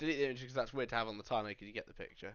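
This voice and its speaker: Fairly even in intonation, a man talks in a British accent. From Britain. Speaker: streamer reacting to commentary drama. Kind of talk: live stream reaction commentary. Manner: casual.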